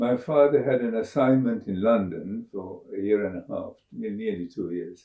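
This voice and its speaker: At a fairly slow pace, the speaker talks in a Sri Lankan accent. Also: man. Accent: Sri Lankan English, British-educated. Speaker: astrobiologist. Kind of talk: interview. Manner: halting, frequent uh fillers.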